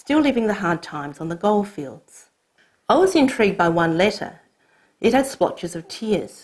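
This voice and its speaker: Her pitch swinging very widely, a woman talks at a moderate pace with an Australian accent. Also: medium pitch for a woman. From Hong Kong. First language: Cantonese. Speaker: filmmaker. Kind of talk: scripted narration.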